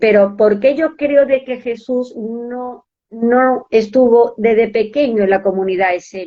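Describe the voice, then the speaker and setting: A woman with an unremarkable speaking voice talks at a fairly slow pace. Her pitch is fairly high, with ordinary pitch variation. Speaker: spiritual speaker. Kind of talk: podcast interview, explaining a topic.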